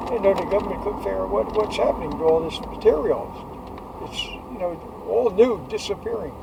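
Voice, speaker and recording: A man speaks at a fairly quick pace, with audible room echo and noticeable background noise around him. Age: 80s+. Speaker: war veteran. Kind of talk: casual chat. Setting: in a car. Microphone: poor audio quality.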